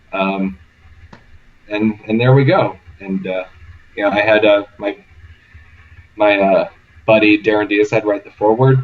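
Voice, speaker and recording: In a Midwestern accent, a man with a fairly low pitch speaks at a fairly slow pace in monotone, flat intonation, with long, frequent pauses. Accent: Midwest. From US Midwest. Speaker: author and podcast guest. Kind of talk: casual chat. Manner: halting, many fillers.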